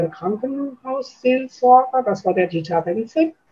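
Through noticeable background noise, a woman speaks at a fairly slow pace. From Schwerte, Ruhr area, Germany. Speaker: chair of hospice volunteer association. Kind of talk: interview.

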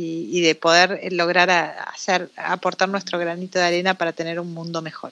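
A woman's fairly low-pitched voice at a moderate pace, bright and sharp in tone, with monotone, flat intonation. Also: hardly any pauses. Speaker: entrepreneur. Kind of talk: interview. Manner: halting.

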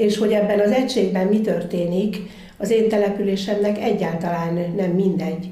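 A woman at a medium pitch talks at a fairly quick pace with fairly even intonation, amid noticeable background noise and audible room echo. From Göcsej, Zala County, Hungary. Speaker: festival organiser. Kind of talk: interview. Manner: halting.

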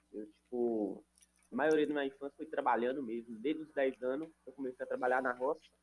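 A man with a normal speaking voice talks at a fairly quick pace, medium in pitch, with fairly even intonation. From Minas Gerais, rural Brazil. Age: 20s. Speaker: digital marketing entrepreneur. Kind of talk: casual chat.

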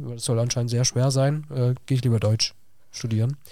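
A man talks at a very fast pace in a dark, mellow tone. His pitch sits at a medium level, and his intonation stays fairly even. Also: very clean recording, silent background. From southwest Germany, Villingen (Baden-Württemberg). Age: 20s. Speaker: teacher. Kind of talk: casual interview.

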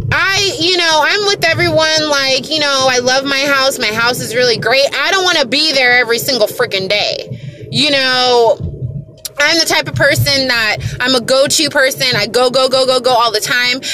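Over noticeable background noise, a woman with an American accent projects a raised, high-pitched voice in an animated tone with lively intonation. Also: moderate pace. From United States. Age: 30s. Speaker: podcaster. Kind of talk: casual monologue.

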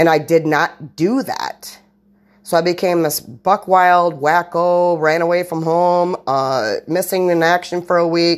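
A woman speaks at a fairly slow pace with a fairly low pitch and fairly even intonation. The recording is very clean, with a silent background. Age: 40s. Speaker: solo podcaster. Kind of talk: casual monologue. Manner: rambling, halting with repeated words.

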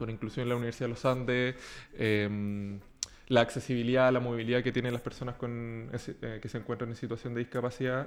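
A man with a medium pitch talks at a fairly quick pace in a monotone, flat delivery. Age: 20s. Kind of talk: political talk show interview.

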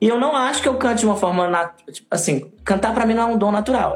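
Lively in intonation, this man talks at a high pitch. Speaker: singer and theater artist. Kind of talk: casual chat. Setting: live video stream.

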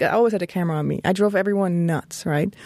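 A woman with a Swiss German accent and a dark, mellow tone speaks at a very fast pace with fairly even intonation, on a very clean recording with a silent background. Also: dry, close sound with no echo. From German-speaking northern Switzerland. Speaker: graphic designer and blogger. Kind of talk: interview conversation. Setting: studio.

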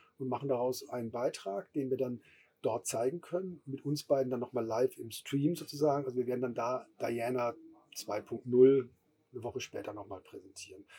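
A man talks at a fairly quick pace in a dark, mellow tone. His pitch is medium, with ordinary variation. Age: middle-aged. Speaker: music festival co-founder. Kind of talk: casual chat. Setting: festival stage.

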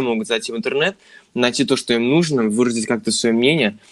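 Talking at a fairly quick pace with lively intonation, a man has an unremarkable speaking voice in a very clean recording with a silent background. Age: 20s. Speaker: podcast co-host, music industry graduate. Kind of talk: casual chat.

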